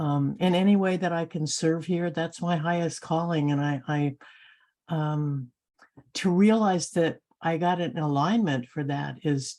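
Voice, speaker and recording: A woman speaks at a very slow pace with a dark, mellow tone. Her pitch sits fairly low and shows ordinary variation. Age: 70s. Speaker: council member on a spiritual call. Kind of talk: emotional testimony. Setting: video call, off camera. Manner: halting.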